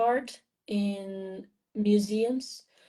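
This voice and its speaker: A woman with a non-native accent and a dark, mellow tone, her intonation fairly even. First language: not English. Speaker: mural artist. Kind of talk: interview. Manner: halting.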